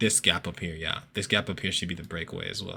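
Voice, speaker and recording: A man's bright, sharp, animated tone on a very clean recording with a silent background. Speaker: forex trading educator. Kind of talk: tutorial. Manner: fast; casual, animated.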